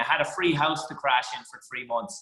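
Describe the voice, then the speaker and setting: A man with an Irish accent, at a moderate pace. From Ireland. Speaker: stand-up comedian. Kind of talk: interview.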